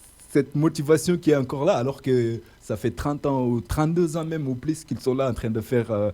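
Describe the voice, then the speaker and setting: A man's medium-pitched voice in a dark, mellow tone, with a non-native accent, lively intonation and a moderate pace, in a very clean recording with a silent background. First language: not French (speaking French). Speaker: radio host. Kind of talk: interview. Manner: hesitant, many fillers.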